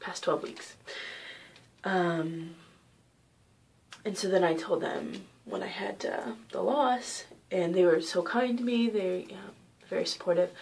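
A quiet woman's voice at a fairly slow pace, with lively intonation, big swings in loudness, and long, frequent pauses. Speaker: vlogger sharing personal story. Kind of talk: personal vlog, testimony. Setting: at home. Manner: quiet, hushed; hesitant, many fillers. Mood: calm, somewhat subdued. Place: home room. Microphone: webcam.

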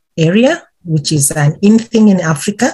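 Against a quiet background, a woman speaks at a fairly slow pace, somewhat breathy, with a fairly low pitch and ordinary pitch variation. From Uganda. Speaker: intellectual property policy advisor. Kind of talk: podcast interview answer. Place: office. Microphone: webcam.

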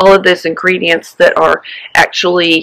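A woman speaks at a moderate pace. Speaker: sailing instructor. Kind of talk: casual vlog chat. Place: garden.

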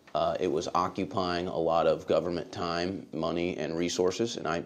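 A man with a very deep, low pitch speaks with fairly even intonation. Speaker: media host giving deposition. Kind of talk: deposition testimony. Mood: measured, somewhat guarded. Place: meeting room.

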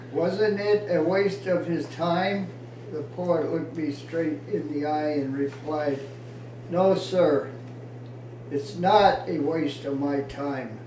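A man speaks at a very slow pace, with audible room echo and light background noise. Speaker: poet. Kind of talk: informal poetry reading, unrehearsed, with stumbles and laughter. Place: home room. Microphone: camera far.

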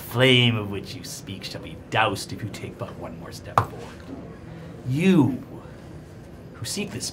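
Over clear background noise, a man does a put-on character voice at a moderate pace, with long, frequent pauses and big swings in loudness. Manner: menacing, tempting.

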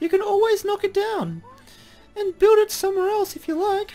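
Pitched extremely high, the put-on character voice carries through. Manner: cheerful.

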